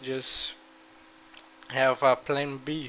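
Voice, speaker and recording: Speaking with a Brazilian Portuguese accent, a man holds a medium pitch in a monotone, flat intonation. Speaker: gaming YouTuber. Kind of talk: gameplay strategy talk. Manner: halting.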